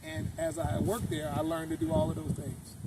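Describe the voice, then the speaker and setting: A man's fairly high voice at a very fast pace, with noticeable background noise. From Oakland, California. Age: 60s. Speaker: car owner, sanitation supervisor. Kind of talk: interview. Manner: halting.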